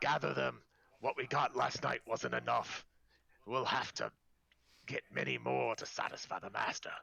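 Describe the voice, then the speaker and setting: The voice is a raspy, put-on character voice. It moves at a moderate pace. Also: man, very deep, low pitch for a man. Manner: menacing, scheming.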